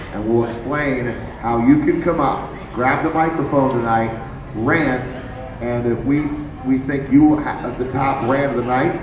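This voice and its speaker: This man has an American accent and a medium pitch, speaking at a fairly slow pace with fairly even intonation. The recording carries noticeable background noise and audible room echo. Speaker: sports radio and TV host. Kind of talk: live event talk show banter. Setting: sports bar with audience. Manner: loud, belting.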